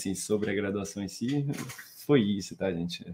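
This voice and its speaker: A man speaks at a fairly low pitch with ordinary pitch variation. It is an ordinary speaking voice. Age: 20s. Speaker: financial market professional, math graduate. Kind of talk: casual interview on a live stream. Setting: online live stream.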